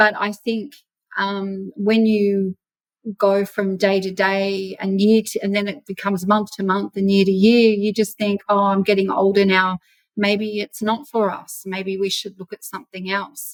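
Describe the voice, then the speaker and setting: At a fairly slow pace, a woman speaks at medium pitch in a monotone, flat intonation, with a dry, close sound and no echo. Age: 50s. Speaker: property investor. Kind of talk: interview.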